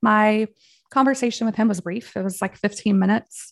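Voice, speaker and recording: A woman speaks in an ordinary speaking voice, her pitch fairly high and her intonation fairly even. The recording is very clean, with a silent background. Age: 40s. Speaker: clinical research director and whistleblower. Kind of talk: interview.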